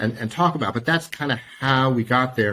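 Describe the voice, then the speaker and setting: With an American accent, a man talks using lively intonation. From United States. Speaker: lawyer. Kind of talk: interview explanation. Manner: halting with repeated words.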